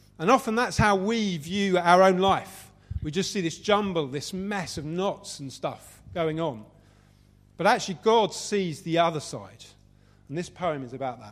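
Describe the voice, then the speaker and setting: A high-pitched man with lively intonation, big swings in loudness, and a moderate pace. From Southeast London, England. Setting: venue with live audience.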